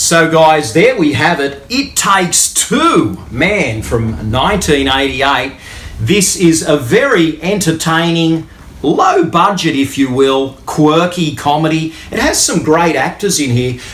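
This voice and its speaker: A man with an Australian accent speaks at a very slow pace and a fairly high pitch, his intonation lively. Room echo is audible, and background noise is noticeable. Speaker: YouTube movie reviewer. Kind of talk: unboxing video talk to camera. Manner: casual, with many fillers.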